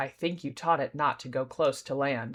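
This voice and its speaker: A put-on character voice at a low-to-middle pitch and a moderate pace, on a very clean recording with a silent background. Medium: read story. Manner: grim, terse.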